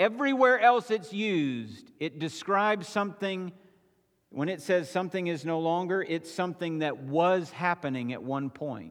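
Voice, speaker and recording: A man's high-pitched voice with lively intonation at a moderate pace. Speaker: pastor. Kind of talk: sermon. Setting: church.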